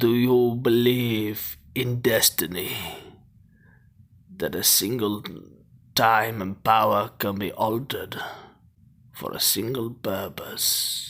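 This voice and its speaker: A man's put-on character voice at medium pitch, very slow, with long, frequent pauses. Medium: solo performance. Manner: grave, theatrical.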